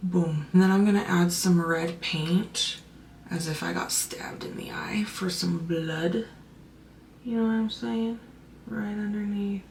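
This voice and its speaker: At a fairly slow pace, a woman at medium pitch speaks with ordinary pitch variation, amid audible room echo and noticeable background noise. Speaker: makeup content creator. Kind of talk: makeup tutorial. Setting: at home late at night.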